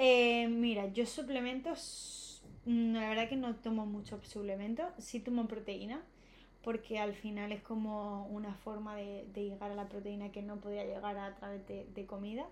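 Speaking at a fairly slow pace, a woman with an unremarkable speaking voice keeps a fairly high pitch. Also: fairly even intonation. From Spain, Alicante province. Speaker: running influencer and marathon runner. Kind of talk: casual chat.

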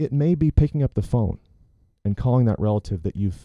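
With an American accent, this dark, mellow voice has lively intonation, recorded dry and close with no echo over a quiet background. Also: man. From US South, Chattanooga, Tennessee. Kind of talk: casual chat; sermon. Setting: studio.

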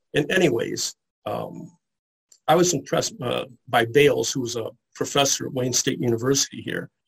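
The speaker has an American accent and sounds somewhat breathy, with ordinary pitch variation at a moderate pace. The sound is dry and close with no echo. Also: man. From US Midwest, Detroit area. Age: 60s. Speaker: comic book historian. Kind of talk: interview.

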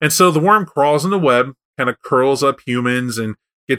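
The recording is plain reading aloud, set against a quiet background.

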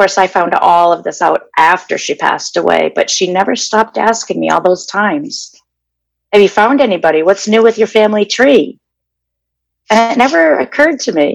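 A woman with an American accent talks at a moderate pace in a medium pitch. Her lively intonation comes with vocal fry. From Massachusetts (Danvers). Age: 50s. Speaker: interviewee sharing personal story. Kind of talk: personal testimony interview.

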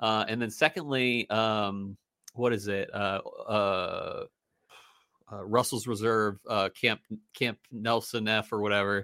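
A man's bright, sharp voice, fairly low in pitch, with long, frequent pauses on a very clean recording with a silent background. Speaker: whiskey podcast co-host. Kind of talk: casual chat. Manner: fast; animated.

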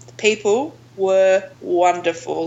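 Pitch moves in a normal way for this speaker, who talks with an Australian accent. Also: woman. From Australia, Melbourne. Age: 30s. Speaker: outdoor adventure group founder. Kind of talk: interview conversation.

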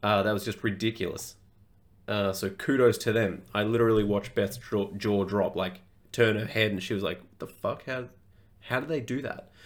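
Fairly low in pitch, a man speaks with an Australian accent and fairly even intonation. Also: moderate pace, very clean recording, silent background. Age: 20s. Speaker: fitness coach, podcast host. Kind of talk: casual solo podcast monologue.

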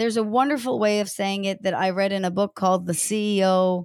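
A woman with a plain, everyday voice speaks at a moderate pace and medium pitch, her intonation fairly even. The very clean recording has a silent background and a dry, close sound with no echo. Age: 40s. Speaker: executive coach. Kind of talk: interview.

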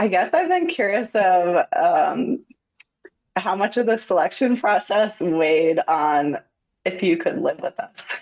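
Speaking at a fairly slow pace, a woman with an American accent makes very wide pitch swings. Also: medium pitch for a woman. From Long Island, New York. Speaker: professional triathlete, data analyst. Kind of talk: interview.

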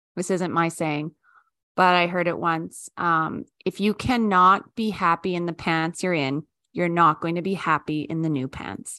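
A woman with a Canadian accent speaks in a normal speaking voice, fairly low-pitched and fairly slow, with fairly even intonation. The sound is dry and close with no echo, over a quiet background. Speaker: podcast co-host. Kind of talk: casual chat.

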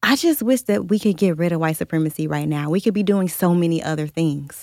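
A woman with an American accent speaks in an unremarkable speaking voice at a fairly quick pace. Her pitch is fairly low, with ordinary pitch variation. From US Midwest, Cleveland, Ohio. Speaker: journalist and editorial director, co-author. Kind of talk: casual chat. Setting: studio.

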